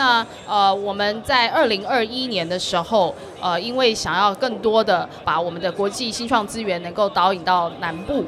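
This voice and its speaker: There is noticeable background noise and audible room echo as a woman talks with ordinary pitch variation. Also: medium pitch for a woman, moderate pace. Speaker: government official. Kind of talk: interview. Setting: live expo floor.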